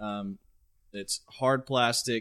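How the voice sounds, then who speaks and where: A man with an American accent speaks at medium pitch in a flat monotone, very slowly, his voice dry and close with no echo over a silent background in a very clean recording. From Central Texas. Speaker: fitness podcast co-host. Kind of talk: casual chat.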